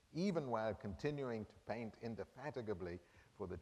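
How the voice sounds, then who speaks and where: A man talks at a moderate pace in a normal speaking voice. His pitch is fairly low with ordinary variation. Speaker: art history professor. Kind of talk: lecture.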